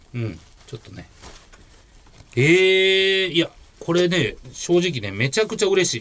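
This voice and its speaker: Pausing long and often, a man with a high voice and lively intonation talks at a moderate pace, his loudness swinging widely. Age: 40s. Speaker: comedian. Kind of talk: casual chat.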